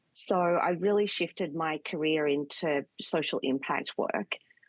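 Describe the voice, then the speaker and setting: A woman with an Australian accent speaks at a very deep, low pitch and a fairly even intonation. The sound is dry and close with no echo, over a quiet background. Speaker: communications consultant. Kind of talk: interview.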